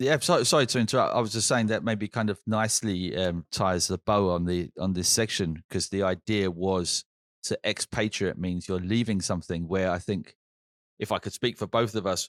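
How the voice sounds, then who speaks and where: In a British accent, a man speaks at a fairly low pitch and moderate pace with ordinary pitch variation, captured in a very clean recording with a silent background and a dry, close sound with no echo. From Britain. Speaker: podcast co-host. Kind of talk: casual chat.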